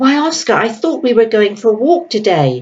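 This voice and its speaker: A man puts on a character voice, pitched extremely high, and keeps to a moderate pace. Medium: read story. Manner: pompous.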